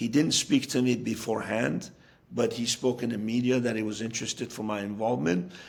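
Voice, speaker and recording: A man with an American accent and vocal fry. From US (raised from childhood, Iranian-born). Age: 60s. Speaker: football coach. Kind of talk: interview. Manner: halting with fillers and repetitions.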